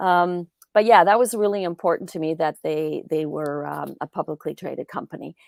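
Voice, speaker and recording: A woman with a plain, everyday voice and a Canadian accent, fairly low in pitch with ordinary pitch variation, at a moderate pace in a dry, close sound with no echo on a very clean recording with a silent background. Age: 60s. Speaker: crypto investing educator. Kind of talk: casual interview.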